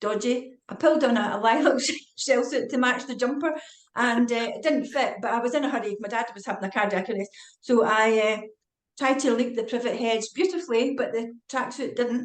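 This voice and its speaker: A woman's high voice in a Scottish accent, at a fairly quick pace with ordinary pitch variation. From Scotland. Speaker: retired forensic psychiatrist and author. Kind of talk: casual interview chat. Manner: fast.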